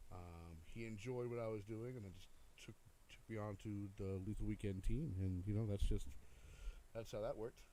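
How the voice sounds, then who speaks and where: Quiet overall but with big swings in loudness, a man speaks at a moderate pace in a fairly low pitch, with a dark, mellow tone and fairly even intonation. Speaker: DJ. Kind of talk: casual chat. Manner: halting.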